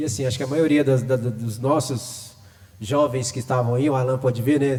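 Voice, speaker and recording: A man speaks fairly quickly in a plain, everyday voice, at a medium pitch with fairly even intonation. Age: 40s. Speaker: hip hop artist. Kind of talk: panel discussion.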